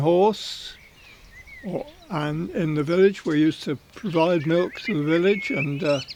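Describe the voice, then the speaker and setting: Ordinary pitch variation at a fairly slow pace, over noticeable background noise. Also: man. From southern England, Berkshire. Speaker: racing journalist. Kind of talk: life story interview. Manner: halting.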